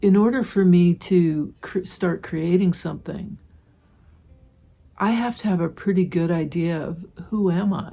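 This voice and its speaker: Speaking at a fairly slow pace, a woman uses a medium pitch with ordinary pitch variation in a warm, somewhat breathy tone. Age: 60s. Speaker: mixed media artist. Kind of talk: tutorial. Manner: warm, reflective.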